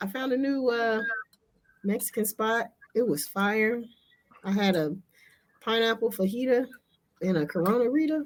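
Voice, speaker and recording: A woman with a fairly high voice talks at a moderate speed. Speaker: podcast co-host. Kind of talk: casual chat. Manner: loud. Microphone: no microphone, talks without one.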